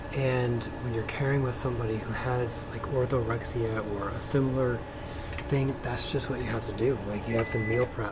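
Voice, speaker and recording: Soft-spoken, a man with a medium pitch talks at a moderate pace with monotone, flat intonation, amid audible room echo and noticeable background noise. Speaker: home cook and family caregiver vlogger. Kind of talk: casual cooking tutorial. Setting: home kitchen at night. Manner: quiet, soft-spoken; hesitant with fillers.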